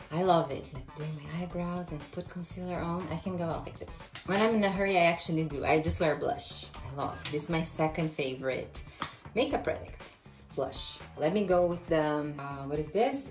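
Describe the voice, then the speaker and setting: Faint music plays behind a woman who speaks at a moderate pace with fairly low pitch, ordinary pitch variation, and big swings in loudness. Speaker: beauty vlogger. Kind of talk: casual makeup tutorial. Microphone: phone near.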